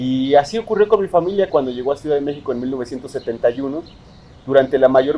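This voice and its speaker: A man's fairly high voice at a very fast pace, with a Mexico City accent. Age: 30s. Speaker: poet. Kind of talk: interview.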